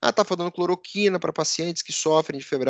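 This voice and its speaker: A man speaks at a very fast pace. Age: 50s. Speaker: podcast host and business editor. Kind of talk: casual news commentary.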